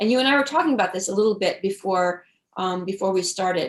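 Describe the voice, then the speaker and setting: A woman speaks with an American accent. Her pitch varies in an ordinary way. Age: 60s. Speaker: author. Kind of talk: interview. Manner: animated.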